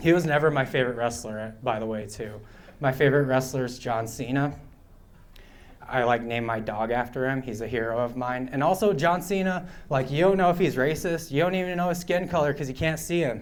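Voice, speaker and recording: Audible room echo surrounds a man's medium-pitched voice. He talks at a fairly quick pace. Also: lively intonation. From Pine Ridge Reservation, South Dakota (Oglala Lakota). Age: 30s. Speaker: stand-up comedian. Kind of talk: stand-up. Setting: stage with audience at a bar.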